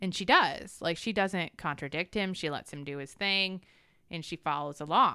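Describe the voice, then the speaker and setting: A woman's fairly low, bright, sharp voice with ordinary pitch variation, big swings in loudness and a moderate pace, in a very clean recording with a silent background. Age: 40s. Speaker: podcast co-host leading Bible discussion. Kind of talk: casual Bible study chat.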